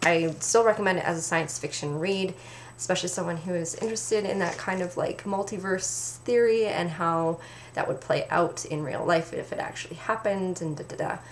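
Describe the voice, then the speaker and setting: A woman with a Canadian accent, fairly low in pitch with ordinary pitch variation, at a moderate pace over noticeable background noise. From Canada. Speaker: book reviewer. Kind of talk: casual talk to camera.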